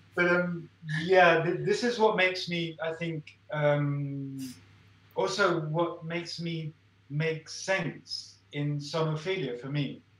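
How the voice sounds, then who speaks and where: With audible room echo, a man with a high pitch speaks at a very slow pace and with fairly even intonation. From Spain, English-speaking family. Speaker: artist and fine arts professor; fine arts professor. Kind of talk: casual interview. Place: home room. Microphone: video call.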